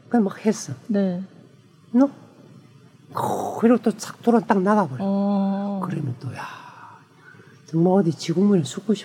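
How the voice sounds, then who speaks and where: Over noticeable background noise, a man speaks at a high pitch with ordinary pitch variation, big swings in loudness, and long, frequent pauses. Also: fairly slow pace. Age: 50s. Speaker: ballet dancer. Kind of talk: casual chat.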